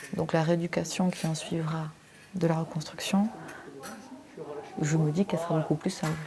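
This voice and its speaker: Ordinary pitch variation amid noticeable background noise. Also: woman. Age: 30s. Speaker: breast cancer patient. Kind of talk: testimony. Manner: halting.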